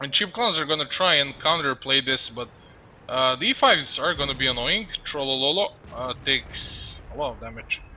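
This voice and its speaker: A man with a non-native accent speaks at a moderate pace. Background noise is noticeable. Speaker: esports commentator. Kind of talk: casual chat; live commentary. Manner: hesitant, many fillers.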